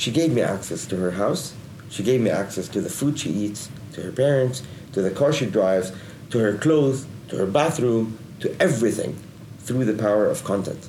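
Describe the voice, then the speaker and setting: Amid noticeable background noise and audible room echo, a man with an Arabic accent speaks at a moderate pace and medium pitch, his intonation lively. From Lebanon. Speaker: digital agency executive. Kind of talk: interview. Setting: studio.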